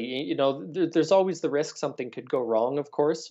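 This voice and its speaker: Against a quiet background comes an unremarkable speaking voice. It moves at a moderate pace with ordinary pitch variation. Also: man. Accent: Canadian. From Canada. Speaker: political reporter. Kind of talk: interview. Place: home room. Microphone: earbuds.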